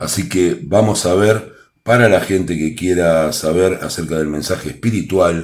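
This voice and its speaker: With a Rioplatense accent, a man talks in a very deep, low voice with ordinary pitch variation, and the room echo is audible. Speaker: tarot reader. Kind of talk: tarot reading to camera. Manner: playful, animated.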